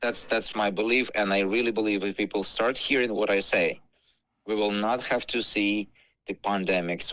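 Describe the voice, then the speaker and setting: Fairly low in pitch, a man with an ordinary speaking voice talks with fairly even intonation. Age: 40s. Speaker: wellness product seller. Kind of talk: radio interview. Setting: radio show.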